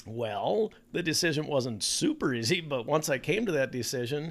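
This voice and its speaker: In an Upper Midwest accent, a man speaks with a fairly high pitch and lively intonation. He goes at a fairly quick pace on a very clean recording with a silent background. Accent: Upper Midwest American. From Minnesota, US (Bloomington). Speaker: children's author and podcast host. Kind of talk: casual interview chat. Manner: animated.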